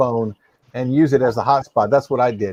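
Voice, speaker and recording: A man talks at a very fast pace, with a dry, close sound and no echo. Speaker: live-stream panel host. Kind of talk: casual chat. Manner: loud.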